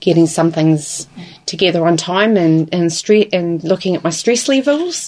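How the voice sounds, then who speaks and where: Against noticeable background noise, a woman with a Southland New Zealand accent speaks fairly slowly at a fairly low pitch. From New Zealand, Invercargill (Southland). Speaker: support worker. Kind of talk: interview. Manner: hesitant, many fillers.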